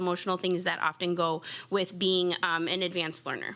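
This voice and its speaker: A woman talks at an unhurried, moderate speed. Behind her, music is playing. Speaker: gifted and talented teacher. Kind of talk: presentation to school board. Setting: school board meeting. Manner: loud.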